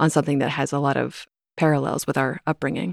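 A woman with an American accent speaks in monotone, flat intonation, captured in a dry, close sound with no echo on a very clean recording with a silent background. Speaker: podcast host and author. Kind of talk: casual interview conversation.

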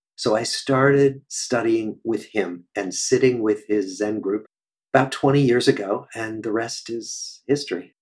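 With a Midwestern US accent, a man speaks at a fairly slow pace. His medium pitch shows ordinary variation. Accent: General American, Midwestern. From US Midwest, Des Moines, Iowa. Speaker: psychiatrist and researcher. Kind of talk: interview conversation.

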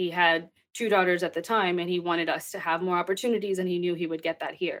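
A woman with an American accent speaks at a medium pitch with fairly even intonation, in a plain, everyday voice. The recording is very clean, with a silent background. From Texas. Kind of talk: interview.

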